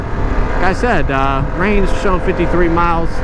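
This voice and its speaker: Loud background noise fills the clip, while the voice itself sounds dry with no echo. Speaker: motorcycle rider reviewing bike. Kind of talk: casual ride commentary. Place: motorbike. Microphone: helmet.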